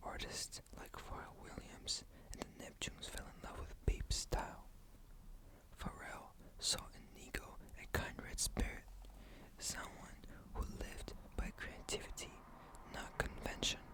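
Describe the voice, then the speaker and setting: Someone whispers at a fairly slow pace with long, frequent pauses. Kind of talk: ASMR bedtime story narration. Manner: whispered.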